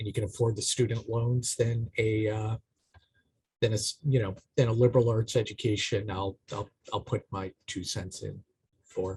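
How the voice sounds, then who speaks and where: A somewhat breathy voice with a Boston accent, moving at a moderate pace. The sound is dry and close with no echo, and the pitch varies in an ordinary way. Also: man. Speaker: AmeriCorps program manager, panelist. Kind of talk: career panel talk.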